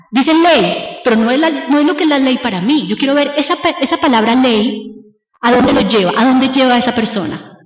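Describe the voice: A woman speaks in a high pitch at a fairly quick pace. Her intonation is lively, and there is audible room echo. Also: few pauses.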